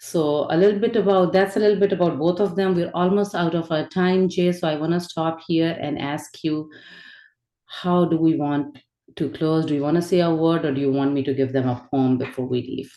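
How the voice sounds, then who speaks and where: A woman speaks with a Pakistani accent at a fairly quick pace. Her pitch is fairly low with ordinary variation. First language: Urdu. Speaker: spirituality and poetry teacher. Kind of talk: lecture.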